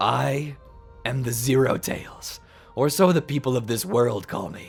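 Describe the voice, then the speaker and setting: Over faint background music and a hiss, a man puts on a character voice at medium pitch, talking at a moderate pace. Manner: slow, hissing, menacing.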